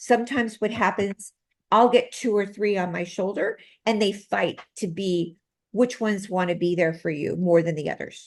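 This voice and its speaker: At a moderate pace and against a quiet background, a woman speaks in an unremarkable speaking voice of medium pitch with ordinary pitch variation. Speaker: medical intuitive and healer. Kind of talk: interview.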